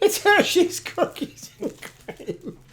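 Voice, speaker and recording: A squeaky, put-on character voice. The pitch is extremely high. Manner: cute, high-pitched.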